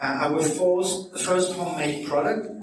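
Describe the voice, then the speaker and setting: Amid noticeable background noise and audible room echo, a man talks with a Belgian French accent. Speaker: nutrition and lifestyle coach. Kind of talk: public talk. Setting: hotel meeting room with audience. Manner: halting, many fillers.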